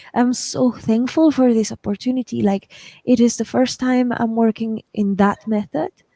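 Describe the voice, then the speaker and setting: This woman talks at a moderate pace with a fairly high pitch and a non-native accent. Her pitch varies in an ordinary way, and the sound is dry and close with no echo. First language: not English. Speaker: writer and channel host. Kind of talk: casual chat. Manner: animated.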